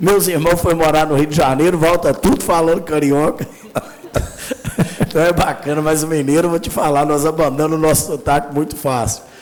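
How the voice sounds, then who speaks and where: Noticeable background noise and audible room echo surround this recording. A man talks fairly quickly at a fairly high pitch, his intonation fairly even. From Minas Gerais, Brazil. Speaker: city councillor. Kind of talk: council meeting speech. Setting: city council chamber. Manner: casual, colloquial.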